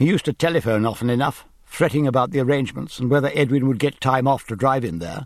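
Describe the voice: The voice is plain reading aloud. It is plain reading aloud throughout.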